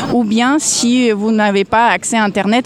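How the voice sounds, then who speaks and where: Amid noticeable background noise, a woman speaks at a fairly slow pace in a fairly high pitch with fairly even intonation. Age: 40s. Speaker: citizen activist. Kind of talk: street interview. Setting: outdoors on a public square. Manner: hesitant, many fillers.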